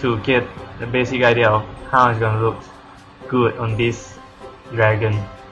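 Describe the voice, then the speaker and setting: A man at medium pitch speaks at a moderate pace in a monotone, flat intonation with long, frequent pauses. Music plays in the background. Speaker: digital artist. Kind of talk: casual tutorial narration. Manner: hesitant, many fillers.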